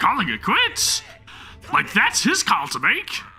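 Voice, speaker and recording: A man puts on a squeaky character voice, pitched extremely high for a man, talking at a fairly slow pace over clear music in the background. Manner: indignant, angry.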